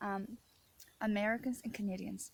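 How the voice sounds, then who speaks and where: A woman's medium-pitched, somewhat breathy voice with an Irish accent and fairly even intonation. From Ireland. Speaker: author and video diarist. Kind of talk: casual monologue vlog.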